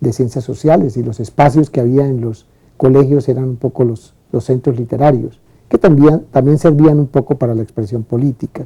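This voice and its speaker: A man talks at a moderate pace in a medium pitch, his tone dark and mellow, somewhat breathy, and his intonation fairly even. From Colombia, Valle del Cauca (Buga). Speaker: lawyer and professor. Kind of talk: testimony. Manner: halting.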